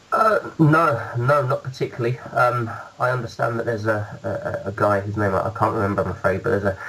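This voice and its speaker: A man in a British accent at a fairly quick pace, with ordinary pitch variation and noticeable background noise. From UK. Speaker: musician. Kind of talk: interview. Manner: halting.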